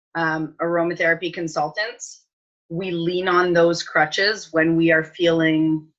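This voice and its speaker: A woman talks at a fairly slow pace in a plain, everyday voice with a fairly low pitch. The background is quiet. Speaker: aromatherapy consultant. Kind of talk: casual advice chat.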